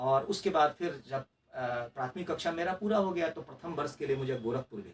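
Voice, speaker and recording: A man's fairly high voice has lively intonation and big swings in loudness. He keeps a moderate pace. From Mithila region, Bihar, India. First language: Maithili (speaking Hindi). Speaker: RTI activist and former election candidate. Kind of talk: interview. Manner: hesitant, with fillers and restarts.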